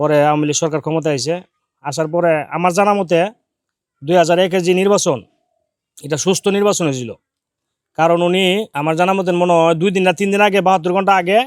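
His pitch high, a man talks with fairly even intonation. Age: 40s. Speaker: member of the public interviewed. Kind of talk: street interview opinion.

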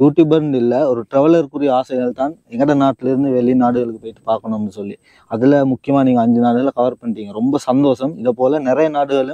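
A man's dark, mellow tone at medium pitch, with fairly even intonation and a dry, close sound with no echo. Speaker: YouTube interviewer. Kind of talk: interview.

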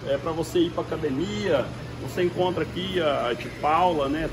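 Loud background noise surrounds a man talking at a fairly slow pace. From Brazil. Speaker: store owner or salesman pitching shop promotion. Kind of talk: retail sales pitch, walking tour of the store promoting a sale. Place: shop. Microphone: phone near.

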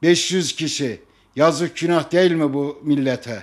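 A man with a fairly high pitch talks at a very slow pace with fairly even intonation, the background quiet. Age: 60s. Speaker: football fan. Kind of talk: impassioned appeal. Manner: emotional; forceful. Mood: upset, protesting. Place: home room. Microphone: handheld.

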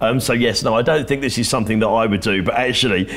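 A man speaks with a southern English accent. His pace is very fast. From Sussex, southern England; southern England. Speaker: local councillor; council guest. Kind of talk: interview. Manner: hesitant, many ums. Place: studio. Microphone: lapel.

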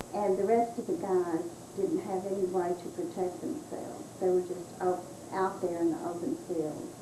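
With noticeable noise in the background, the woman's pitch shifts by an ordinary amount. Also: medium pitch for a woman, moderate pace. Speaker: family member recalling history. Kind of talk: interview answer, family storytelling. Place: home room. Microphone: old recording.

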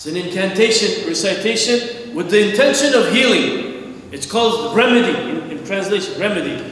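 An extremely high-pitched man's voice at a moderate pace, ordinary pitch variation, with strong room echo. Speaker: preacher. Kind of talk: sermon. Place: church.

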